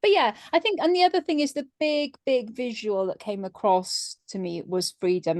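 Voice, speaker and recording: A woman with a plain, everyday voice speaks at a moderate pace with lively intonation, the sound dry and close with no echo over a quiet background. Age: middle-aged. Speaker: business member. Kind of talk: casual chat.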